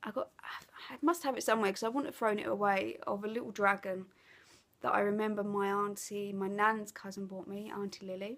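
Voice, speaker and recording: A woman with an Essex accent, fairly quick pace, medium pitch, ordinary pitch variation and big swings in loudness. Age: 30s. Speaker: craft vlogger. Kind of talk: casual chat. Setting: living room at home. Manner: hesitant, many fillers.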